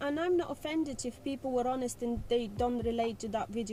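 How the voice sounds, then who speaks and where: A woman with a non-native accent speaks at a fairly quick pace in a high pitch, with music in the background. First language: not English. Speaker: learner driver. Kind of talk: casual chat.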